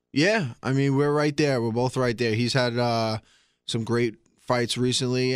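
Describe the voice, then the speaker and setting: A man with a Long Island accent speaks in a fairly even intonation on a very clean recording with a silent background. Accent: New York (Long Island). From Long Island, New York. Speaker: MMA fighter. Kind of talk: casual interview.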